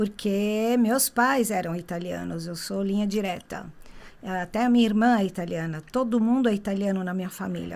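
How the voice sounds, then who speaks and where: An unremarkable speaking voice from a woman, medium in pitch, with ordinary variation at a moderate pace. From Brazil. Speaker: tour guide. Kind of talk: interview.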